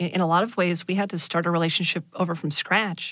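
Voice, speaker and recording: Using an ordinary speaking voice, a woman talks at a fairly quick pace with fairly low pitch and fairly even intonation. The recording is very clean with a silent background. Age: 30s. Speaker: interviewee sharing personal story. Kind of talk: interview.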